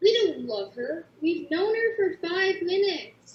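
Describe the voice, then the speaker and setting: A squeaky put-on character voice at an extremely high pitch, fairly slow in pace, with slight echo. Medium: stage play. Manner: dry, measured.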